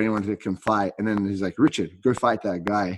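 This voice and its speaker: A man uses a normal speaking voice, fairly low in pitch, with fairly even intonation. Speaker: podcast host and jiu-jitsu instructor. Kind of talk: casual interview chat.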